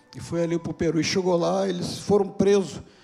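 A man with a high pitch speaks with fairly even intonation, and the room echo is audible. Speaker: pastor. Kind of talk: sermon. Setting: church service.

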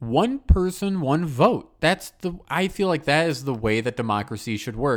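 Man with an American accent, fairly high in pitch, lively in intonation and very slow in pace. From US Midwest. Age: 20s. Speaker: podcast host. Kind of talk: casual chat.

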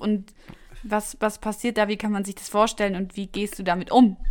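A woman speaks at a medium pitch. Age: 20s. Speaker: podcast host. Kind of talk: casual chat. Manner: animated.

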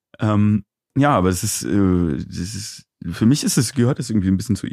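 Delivered in a plain, everyday voice, the speech runs at a fairly quick pace with lively intonation. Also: man. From Aachen, Germany. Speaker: DJ and music producer. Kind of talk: casual interview. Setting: live stream studio.

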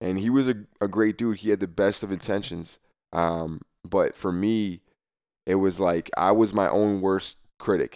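A man speaks with an American accent at a moderate pace. It is a normal speaking voice on a very clean recording with a silent background. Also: fairly low pitch for a man, fairly even intonation. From New Jersey. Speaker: former college football player. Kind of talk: interview. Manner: casual, many filler words.

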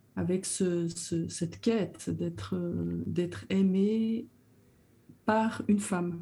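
A woman speaks with fairly low pitch. Her tone is dark and mellow, and somewhat breathy. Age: 60s. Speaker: social educator. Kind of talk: testimony.

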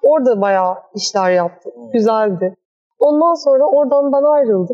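With lively intonation, a woman speaks in a high pitch and a dark, mellow tone. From Istanbul, Turkey. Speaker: architect and workshop founder. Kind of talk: interview. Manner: hesitant, many fillers.

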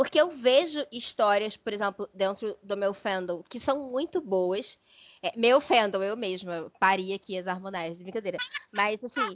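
The speaker has a normal speaking voice and lively intonation. The pace is fairly slow. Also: woman, medium pitch for a woman. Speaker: podcast co-host. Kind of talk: casual chat.

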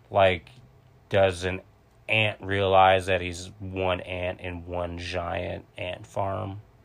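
In a very deep, low pitch, a man speaks at a very slow pace with monotone, flat intonation. The background is quiet. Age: 20s. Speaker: podcast guest. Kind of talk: casual chat.

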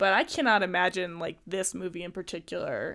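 In a very clean recording with a silent background, a woman speaks at a medium pitch and moderate pace in a plain, everyday voice. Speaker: podcast host. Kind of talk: casual chat.

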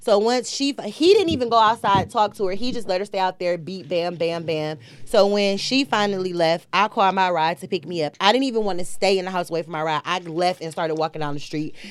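A woman speaks very fast at a medium pitch, with ordinary pitch variation and hardly any pauses. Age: 30s. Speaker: first-time podcast guest. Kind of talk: casual chat.

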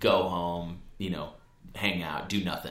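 A man speaks with an American accent. Noticeable background noise runs behind him. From Wisconsin (Brookfield, near Milwaukee). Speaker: sales entrepreneur. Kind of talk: casual interview. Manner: energetic.

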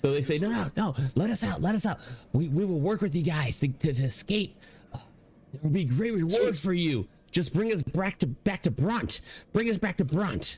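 A man puts on a character voice, high-pitched and hissing, at a fairly slow pace. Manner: pleading, eager.

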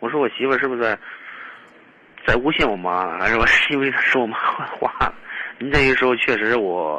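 A man speaks fairly quickly at a medium pitch, his intonation lively, with noticeable background noise behind him. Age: 30s. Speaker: caller seeking relationship advice. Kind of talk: phone-in advice call. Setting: phone call. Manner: halting.

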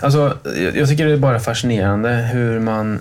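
A man at medium pitch and moderate pace, ordinary pitch variation, a plain, everyday voice. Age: 30s. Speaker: podcast co-host. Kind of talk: casual chat.

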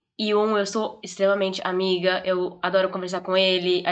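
Noticeable background noise runs under this recording. A woman speaks in a medium pitch. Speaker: podcast guest. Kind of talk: casual chat.

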